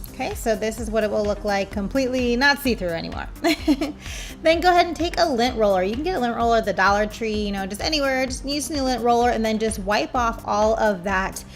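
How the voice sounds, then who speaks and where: A soft-spoken woman at a very fast pace, fairly high in pitch, with lively intonation and music in the background. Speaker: nail art tutorial creator and polish brand owner. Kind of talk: tutorial. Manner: casual.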